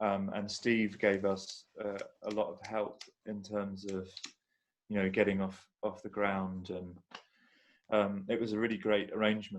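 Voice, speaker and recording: Delivered at a fairly slow pace with long, frequent pauses, the speech has a monotone, flat intonation and comes with a southern English accent. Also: man, fairly low pitch for a man. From southern England (London, then south coast). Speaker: synth module developer. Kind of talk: casual chat. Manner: halting.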